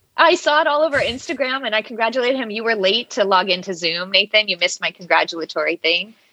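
Very fast and with hardly any pauses, a woman speaks in a bright, sharp tone at a fairly high pitch, swinging it very widely. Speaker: law school admissions consultant. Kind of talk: casual chat. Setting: remote call.

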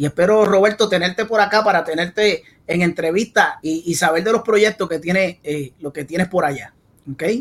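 A Puerto Rican accent at a moderate pace, with ordinary pitch variation. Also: man, high pitch for a man. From Puerto Rico (San Juan). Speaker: salsa podcast host. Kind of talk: casual interview. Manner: animated.

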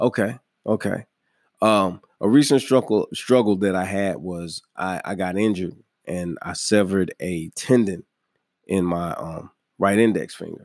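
A man has an unremarkable speaking voice at a fairly low pitch, with ordinary pitch variation and big swings in loudness. His pace is fairly slow, on a very clean recording with a silent background. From New York. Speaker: podcast host. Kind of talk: casual interview chat.

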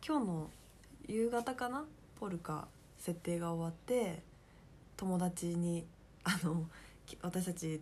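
Speaking at a very slow pace with long, frequent pauses, a woman uses a fairly low, somewhat breathy voice with ordinary pitch variation. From Kansai, Japan. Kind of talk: casual chat.

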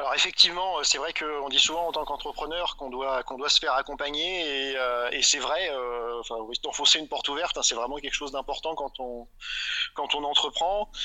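The man's fairly high voice moves along at a fairly quick clip, its pitch varying in an ordinary way. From France, Grenoble region. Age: 30s. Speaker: entrepreneur, electronics engineer. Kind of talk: interview. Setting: outdoors in the fields. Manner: halting, many repetitions and fillers.

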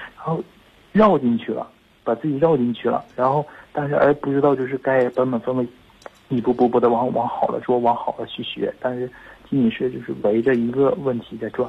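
At a fairly quick pace, a man with medium pitch and an unremarkable speaking voice talks with fairly even intonation. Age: 20s. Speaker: caller. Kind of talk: phone call. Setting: phone call.

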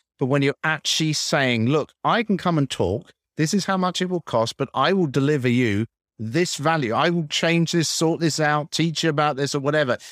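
In a plain, everyday voice, a man talks at a moderate pace with a fairly high pitch and ordinary pitch variation, recorded very cleanly in a dry, close sound with no echo and a silent background. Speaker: podcast interviewer. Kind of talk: interview.

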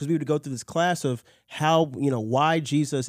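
The audio is dry and close, without any echo. A man with an American accent talks at a moderate speed. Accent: little Nigerian accent, sounds American. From Nigeria. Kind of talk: testimony.

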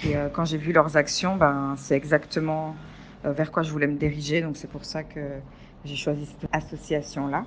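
This woman's very deep, low voice stays monotone and flat at a moderate pace while her loudness swings widely. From Belgium. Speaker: former intern, NGO worker. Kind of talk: testimony. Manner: hesitant, many fillers.

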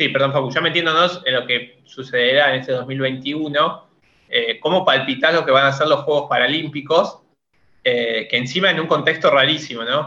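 With a normal speaking voice, a man talks at a moderate pace, his pitch fairly high and his intonation fairly even. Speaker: podcast co-host. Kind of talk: interview.

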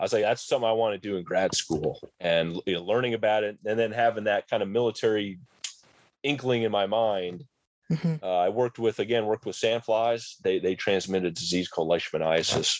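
A man with a plain, everyday voice talks at a fairly quick pace in a fairly low pitch. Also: ordinary pitch variation. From rural New Jersey. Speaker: army entomologist. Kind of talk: interview.

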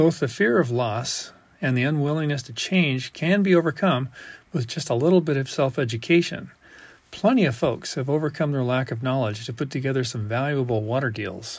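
A man talks at a medium pitch with ordinary pitch variation and a somewhat breathy quality. The recording is very clean, with a silent background. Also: fairly quick pace. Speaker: water rights engineer. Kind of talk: scripted narration.

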